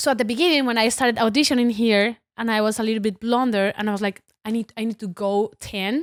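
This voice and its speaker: A woman with a Latin American accent talks at a very fast pace with hardly any pauses. Her fairly high voice has ordinary pitch variation, and the sound is dry and close with no echo. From Colombia (Bogotá). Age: 30s. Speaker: actress. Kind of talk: casual chat.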